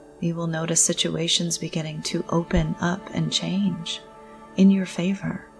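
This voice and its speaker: A woman at a fairly slow pace with a calm, soothing tone, and music in the background. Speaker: spiritual counselor and meditation guide. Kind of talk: guided meditation. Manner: calm, slow, soothing.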